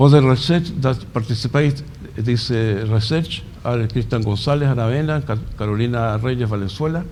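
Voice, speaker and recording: Fairly quick pace with audible room echo. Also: man, medium pitch for a man, ordinary pitch variation. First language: Spanish. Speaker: conference speaker, entomology researcher. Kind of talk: conference presentation. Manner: halting.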